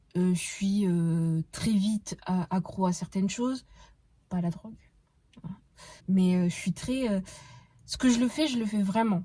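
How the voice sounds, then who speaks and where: At a moderate pace, a woman speaks in a somewhat breathy, dark, mellow voice of medium pitch with fairly even intonation. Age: 20s. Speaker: podcast host. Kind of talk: casual monologue. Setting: in a car. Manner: hesitant, many fillers.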